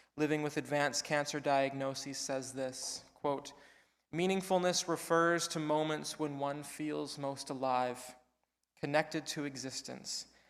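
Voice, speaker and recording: Over a very clean recording with a silent background, a man speaks at a fairly slow pace. His pitch is fairly high, and his intonation is monotone and flat. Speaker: sermon speaker / spiritual care provider. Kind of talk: church sermon delivered to a congregation.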